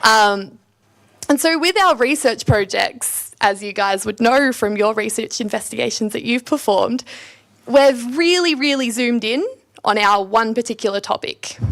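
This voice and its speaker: A woman with an Australian accent, fairly high in pitch, with lively intonation and a moderate pace. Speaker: PhD student giving talk. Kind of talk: presentation to students. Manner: loud.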